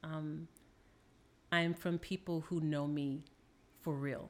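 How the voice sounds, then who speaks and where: A woman with an American accent, a very deep, low pitch, monotone, flat intonation, and a very slow pace. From New Orleans, Louisiana, US South. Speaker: therapist or counselor guest. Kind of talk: casual chat.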